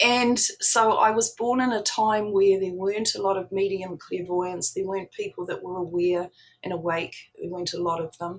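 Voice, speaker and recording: Delivered in a normal speaking voice, the speech moves at a moderate pace with fairly even intonation. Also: woman, medium pitch for a woman. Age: 60s. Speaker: spiritual practitioner. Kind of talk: talk to an online audience.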